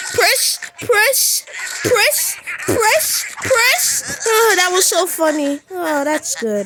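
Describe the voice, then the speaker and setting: Someone does a cartoonish character voice at a very slow pace. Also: woman, extremely high pitch for a woman. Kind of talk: comic overacting. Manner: giggly, playful.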